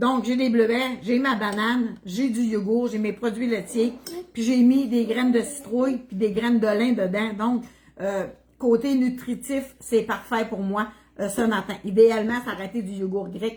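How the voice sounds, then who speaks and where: A woman with a Quebec accent, fairly high in pitch and somewhat breathy, at a fairly slow pace with fairly even intonation. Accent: Québécois French. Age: 60s. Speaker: cooking livestreamer. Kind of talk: casual livestream chat. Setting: home kitchen livestream.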